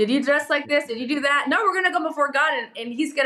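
Raised and projected, a woman's high voice races along at a very fast pace with lively intonation. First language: English (native; also speaks Spanish and Portuguese). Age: 30s. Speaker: pastor. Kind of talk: podcast interview.

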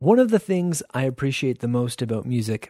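In a very clean recording with a silent background, a man talks at a moderate pace and medium pitch, his tone both warm and upbeat and dark and mellow. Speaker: radio host. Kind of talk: radio show hosting, scripted-style intros and announcements. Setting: radio studio broadcast. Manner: warm, conversational, clear and upbeat.

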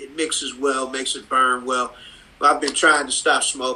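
Speaking at a moderate pace, a man has an American accent. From Cleveland, Ohio (Cleveland Heights). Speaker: comics artist. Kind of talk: casual interview. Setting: video call.

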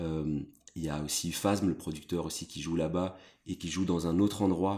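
Recorded very cleanly against a silent background, a man speaks at a moderate pace with a very deep, low pitch and fairly even intonation. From Brussels, Belgium. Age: 30s. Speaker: journalist and editor-in-chief. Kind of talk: interview conversation.

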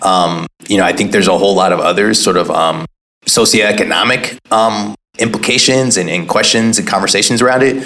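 The pace is fairly quick. The speaker has a Californian accent. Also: man. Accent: Californian American. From Oakland, California. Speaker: entrepreneur and activist. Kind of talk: interview.

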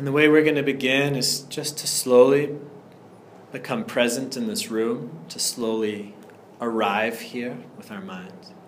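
A man speaks at a fairly slow pace in a medium pitch, with ordinary pitch variation. It is an ordinary speaking voice, with big swings in loudness. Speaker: meditation teacher. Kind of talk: guided meditation. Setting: room with live group, air unit humming. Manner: warm, relaxed, casual with humor in the intro.

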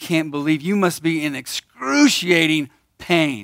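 A man with a normal speaking voice and fairly high pitch talks at a moderate pace, the sound dry and close with no echo. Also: very clean recording, silent background. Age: 50s. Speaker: church operations manager and speaker. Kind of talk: testimony talk. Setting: stage with audience at men's breakfast.

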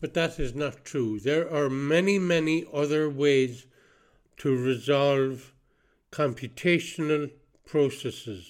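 Speaking very slowly in an Irish accent, the voice shows ordinary pitch variation. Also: man, fairly high pitch for a man. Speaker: podcast host. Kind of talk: solo spoken monologue. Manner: halting.

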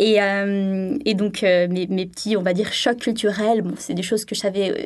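Her voice is an unremarkable speaking voice at medium pitch. The woman's intonation is fairly even. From southern France, Sainte-Maxime. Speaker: French language teaching assistant. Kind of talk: radio interview.

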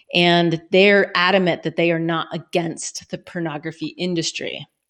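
A woman speaks in a normal speaking voice at a fairly low pitch and fairly slow pace. The background is quiet. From Colorado. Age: 40s. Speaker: former adult industry worker. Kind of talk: casual interview.

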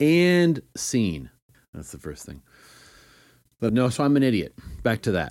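A man's animated voice with very wide pitch swings, big swings in loudness and long, frequent pauses, on a very clean recording with a silent background. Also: medium pitch for a man. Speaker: podcaster. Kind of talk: solo monologue, casual stream of consciousness. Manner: fast talker, rambling, self-deprecating; animated, humorous, laughs often.

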